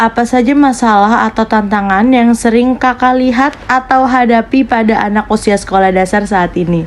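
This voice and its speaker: Against noticeable background noise, a woman speaks at a moderate pace with hardly any pauses, ordinary pitch variation and very even loudness. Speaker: university student interviewer. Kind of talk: interview. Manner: formal.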